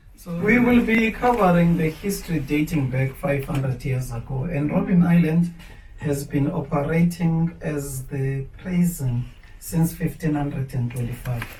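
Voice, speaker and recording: A man with a South African accent, fairly high pitch, lively intonation and a moderate pace, over noticeable background noise. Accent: South African Xhosa-accented English. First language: Xhosa. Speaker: tour guide. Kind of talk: guided tour talk.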